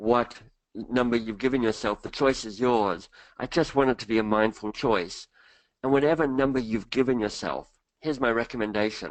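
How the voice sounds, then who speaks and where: Against a quiet background, a speaker with an Australian accent shows ordinary pitch variation. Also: man. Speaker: leadership coach and author. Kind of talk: webinar presentation. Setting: online webinar.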